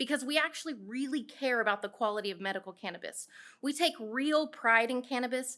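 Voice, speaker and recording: A woman projects her high-pitched voice in a bright, sharp tone. She talks at a fairly quick pace with ordinary pitch variation. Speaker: small cannabis processor business owner. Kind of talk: public comment at town hall, partly read from notes. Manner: fast.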